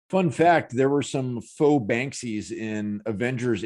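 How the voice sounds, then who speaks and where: Over a quiet background, a man talks at a fairly slow pace with lively intonation. He has an ordinary speaking voice. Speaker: questionnaire host and narrator. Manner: dry, joking.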